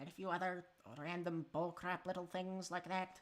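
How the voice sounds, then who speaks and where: A woman performs a put-on character voice at medium pitch. She keeps a moderate pace with monotone, flat intonation. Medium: actual play. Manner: casual, offhand, salesy.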